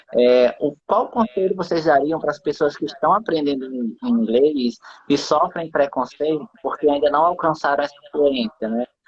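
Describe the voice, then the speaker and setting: Spoken with a slight northeastern Brazilian accent. There are hardly any pauses. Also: moderate pace. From Brazil, interior of Rio Grande do Norte (Northeast). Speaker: live stream host. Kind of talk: casual chat. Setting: live stream.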